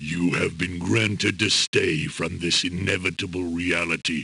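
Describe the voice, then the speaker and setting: A man growls in a put-on character voice. His pitch is very deep and low, with fairly even intonation. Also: moderate pace. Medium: video game. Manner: solemn, archaic.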